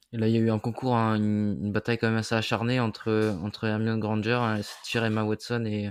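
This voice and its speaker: At a fairly quick pace, a man talks with a fairly low pitch and monotone, flat intonation. His loudness stays very even. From France, Brittany. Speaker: podcast co-host. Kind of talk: casual podcast chat.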